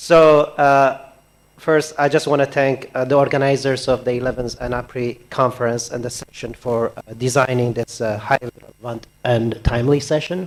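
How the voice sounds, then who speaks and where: A man talks at a moderate pace and medium pitch with fairly even intonation. Noticeable background noise is audible. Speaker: development agency official. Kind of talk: panel discussion. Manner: soft-spoken.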